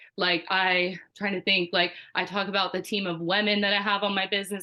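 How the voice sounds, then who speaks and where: A woman at medium pitch, fairly quick in pace, with monotone, flat intonation. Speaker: network marketing team leader. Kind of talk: team call presentation. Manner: fast; casual, filler-heavy.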